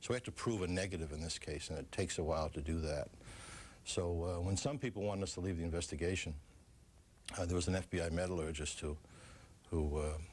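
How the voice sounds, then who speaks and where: A man with a Boston accent, very deep, low pitch, ordinary pitch variation and a somewhat breathy quality, at a very fast pace with long, frequent pauses. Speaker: former FBI official. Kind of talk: TV interview.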